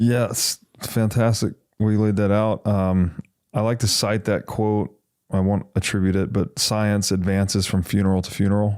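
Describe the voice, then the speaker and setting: On a very clean recording with a silent background, a man speaks at a fairly low pitch and a moderate pace in a monotone, flat intonation. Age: 30s. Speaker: podcast host. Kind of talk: casual chat.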